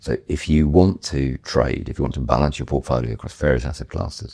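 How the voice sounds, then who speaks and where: Through noticeable background noise, a man with a very deep, low pitch talks at a fairly quick pace. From northern England. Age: 60s. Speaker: property investor. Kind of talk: podcast interview.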